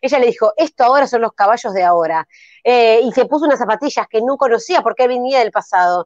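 Against a quiet background, the speaker uses a Rioplatense accent and very wide pitch swings. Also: woman, dry sound with no echo. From Argentina. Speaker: improv comedian. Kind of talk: improvised comedy narration. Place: home room. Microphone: video call.

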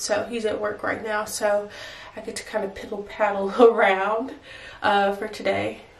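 A woman talks with a monotone, flat intonation. Audible room echo surrounds her voice. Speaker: vlogger. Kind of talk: casual vlog chat. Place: home room. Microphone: phone near.

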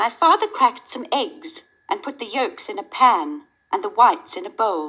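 The background stays quiet while someone reads in an unforced voice.

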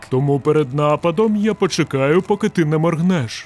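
In a put-on character voice, a man speaks at a moderate pace with a fairly high pitch, the sound dry and close with no echo and faint music in the background. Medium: fan dub. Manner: deadpan, slow, unflappable.

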